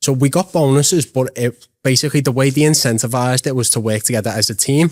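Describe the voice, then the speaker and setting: A man with a Liverpool accent at medium pitch, very fast pace, ordinary pitch variation and very even loudness, in a dry, close sound with no echo. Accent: Liverpool (Scouse). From Liverpool, England. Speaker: real estate agent. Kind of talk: podcast interview. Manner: casual.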